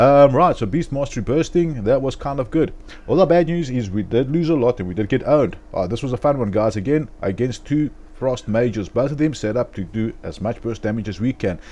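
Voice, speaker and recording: A dark, mellow tone with a South African accent, lively intonation and a fairly quick pace. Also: man, medium pitch for a man. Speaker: gaming video commentator. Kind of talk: gameplay voiceover commentary. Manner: casual, filler-heavy.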